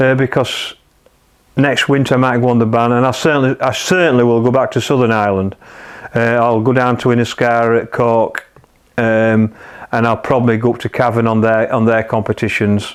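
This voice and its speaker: A man with a Yorkshire accent talks at a fairly quick pace. His medium pitch stays monotone and flat. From northern England, South Kirkby, Yorkshire mining village. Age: 60s. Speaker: match angler. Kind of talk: interview answers in live-stream Q&A. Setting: live stream on Facebook.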